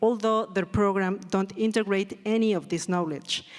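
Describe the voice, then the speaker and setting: A woman at a medium pitch, in a Spanish accent. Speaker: theatre design educator. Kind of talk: reading aloud. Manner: slow; halting.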